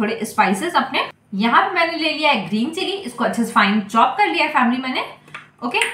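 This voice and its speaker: A woman uses a raised, projected voice, with audible room echo around it. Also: moderate pace. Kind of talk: cooking tutorial. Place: kitchen. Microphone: phone near.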